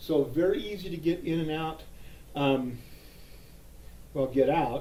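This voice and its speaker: Somewhat breathy, a man's voice sits at a fairly high pitch with a dark, mellow tone. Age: 60s. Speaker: gun holster reviewer. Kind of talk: casual product review. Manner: halting, with fillers.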